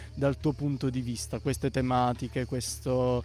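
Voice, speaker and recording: This man's tone is dark and mellow. He keeps to a moderate pace. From Apulia, Ostuni. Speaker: community radio interviewer. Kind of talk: casual interview.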